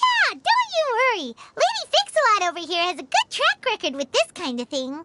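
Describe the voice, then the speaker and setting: Squeaky and extremely high, this put-on character voice leaps through very wide pitch swings. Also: moderate pace, hardly any pauses. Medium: video game. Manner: warm, encouraging.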